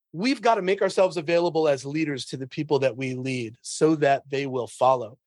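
This man has an ordinary speaking voice, fairly high in pitch. He talks at a fairly quick pace with ordinary pitch variation. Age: 40s. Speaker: sales trainer. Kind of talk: casual chat.

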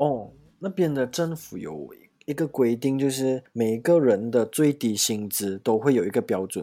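Speaking at a moderate pace, a man with a medium pitch and a dark, mellow tone uses lively intonation. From Malaysia. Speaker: handmade soap maker and working holiday traveller. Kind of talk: casual chat.

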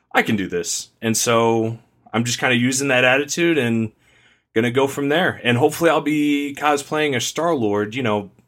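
In a very clean recording with a silent background, a man with a normal speaking voice talks at a moderate pace, medium in pitch with ordinary pitch variation. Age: 20s. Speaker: podcaster guest. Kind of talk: casual chat.

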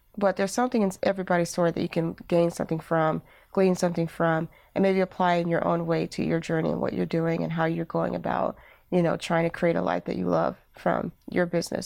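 A woman talks at a very fast pace in a fairly low pitch. The background is quiet. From Alabama, US South. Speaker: creative entrepreneur and podcaster. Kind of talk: interview conversation.

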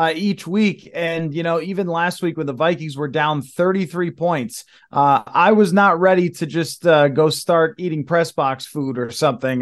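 An ordinary speaking voice with an American accent, ordinary pitch variation and a moderate pace, against a quiet background. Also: man. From Buffalo, New York. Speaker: sports journalist. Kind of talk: casual interview.

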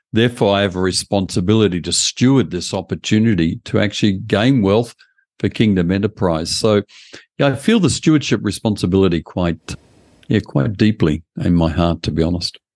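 Speaking in an Australian accent, a man keeps a fairly quick pace. His pitch is fairly low, with ordinary pitch variation. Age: 70s. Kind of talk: interview.

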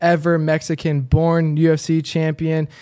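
On a very clean recording with a silent background, a man with an unremarkable speaking voice and a fairly high pitch speaks at a fairly slow pace. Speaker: podcast co-host. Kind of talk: casual interview.

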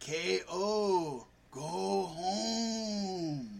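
A man puts on a character voice pitched high.

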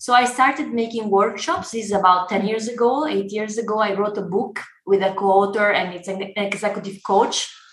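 Over noticeable background noise and audible room echo, a woman with an Italian accent talks at a fairly quick pace with hardly any pauses, her medium pitch showing ordinary variation. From Italy. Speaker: startup founder and CEO. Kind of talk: podcast interview.

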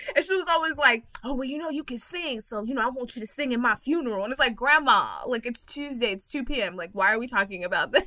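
Over noticeable background noise, a woman with an American accent talks at a very fast pace and high pitch, with lively intonation and hardly any pauses. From Texas. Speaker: comedian and podcast host. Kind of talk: casual chat.

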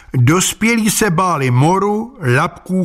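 Here a man speaks at a high pitch, his voice making very wide pitch swings. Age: old. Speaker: humorous columnist. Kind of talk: scripted narration.

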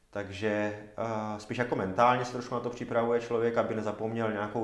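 Over noticeable background noise and audible room echo, a man with a fairly low pitch speaks at a fairly quick pace in a monotone, flat intonation. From Czechia, Zábřeh (Olomouc region). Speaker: semi-professional triathlete. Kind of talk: casual interview. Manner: halting, many fillers.

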